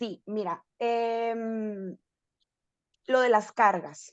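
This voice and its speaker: A woman's fairly high voice with a Sinaloan accent, over a quiet background. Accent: Sinaloa Mexican. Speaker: family constellations therapist. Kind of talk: interview chat.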